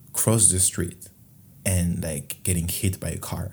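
A man's very deep, low voice with a dark, mellow tone, somewhat breathy, with a French accent. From France. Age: 20s. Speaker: podcast host. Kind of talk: solo monologue podcast, casual and confessional. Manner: rambling, casual, self-deprecating.

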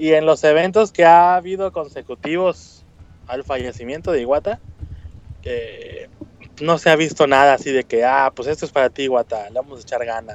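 A normal speaking voice, this man has a fairly high pitch and ordinary pitch variation at a moderate pace. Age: 30s. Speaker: correspondent in Japan. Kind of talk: casual chat.

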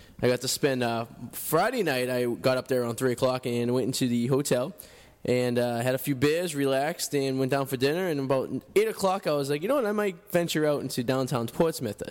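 At a fairly quick pace, a man with a Boston accent speaks in a medium pitch with ordinary pitch variation. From Revere, Massachusetts. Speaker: radio host. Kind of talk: casual chat. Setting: studio.

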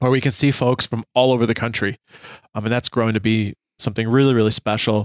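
Very fast and monotone, a man delivers flat speech at a medium pitch in a dry, close sound with no echo. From Germany. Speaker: family physician. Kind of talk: casual interview.

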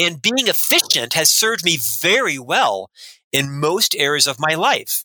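A man with an American accent, fairly high in pitch with very wide pitch swings, a bright, sharp tone, very even loudness and a fairly slow pace. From US South, Orlando, Florida. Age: 50s. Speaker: leadership consultant and author. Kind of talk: interview.

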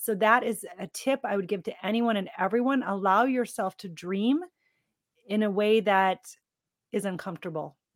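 On a very clean recording with a silent background, a woman of medium pitch speaks with ordinary pitch variation in a dry, close sound with no echo. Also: moderate pace. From US Midwest. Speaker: transformation coach. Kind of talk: interview.

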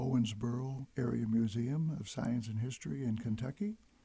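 Speaking at a moderate pace with a Midwestern American accent, this voice is somewhat breathy with a dark, mellow tone. Its pitch varies in an ordinary way. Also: man. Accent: Midwestern American, radio voice. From US, Detroit. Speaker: radio host. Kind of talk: radio interview. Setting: radio studio.

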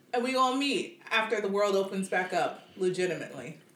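Over noticeable background noise and audible room echo, a woman talks at a moderate pace and medium pitch with lively intonation. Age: 30s. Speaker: podcast co-host. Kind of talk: casual chat.

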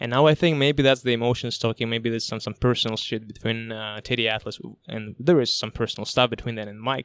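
A man with a medium-pitched voice talks at a very fast pace, his intonation fairly even. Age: 20s. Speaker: podcast host. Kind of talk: casual chat. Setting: studio.

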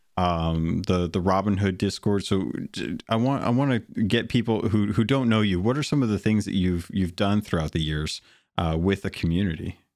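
In a very clean recording with a silent background, a man with a plain, everyday voice talks at a moderate pace with hardly any pauses, using ordinary pitch variation at a fairly low pitch. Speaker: podcast host. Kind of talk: casual chat.

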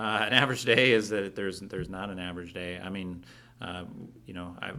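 Talking at a fairly quick pace, a man with a Midwestern US accent has a very deep, low pitch. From western Iowa. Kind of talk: casual interview.

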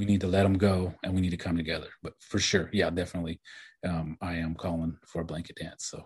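A man with a very deep, low pitch and an American accent talks at a very fast pace, somewhat breathy. His intonation is monotone and flat, against a quiet background. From Oklahoma, Cherokee and Kiowa communities. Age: 40s. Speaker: novelist. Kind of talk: interview.

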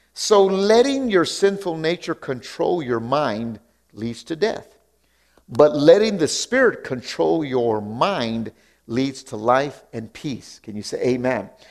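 A man's fairly high voice at a very slow pace, with very wide pitch swings and big swings in loudness. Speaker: preacher. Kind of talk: sermon. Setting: church with congregation. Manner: animated, call-and-response, urging the congregation to shout back; repeats phrases for emphasis, rhythmic and fervent.

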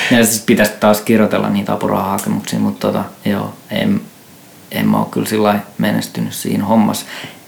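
Noticeable noise sits in the background. A man speaks over it at a fairly quick pace. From Finland, Järvenpää. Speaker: experimental musician. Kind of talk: casual chat. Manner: halting.

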